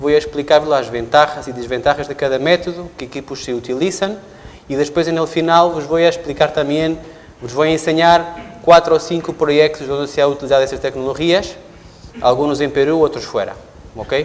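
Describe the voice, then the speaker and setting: A man with a Portuguese accent speaks at a fairly quick pace, his pitch fairly high and his intonation fairly even. Noticeable background noise sits behind him. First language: Portuguese (speaking Spanish). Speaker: engineer, company representative. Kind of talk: technical presentation. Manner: halting, many fillers.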